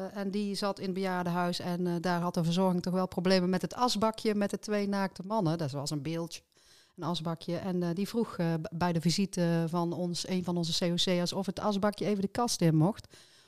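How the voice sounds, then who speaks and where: An ordinary speaking voice from a woman, fairly low in pitch, at a moderate pace with fairly even intonation, on a very clean recording with a silent background. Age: middle-aged. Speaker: podcast co-host, political candidate. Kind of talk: casual chat.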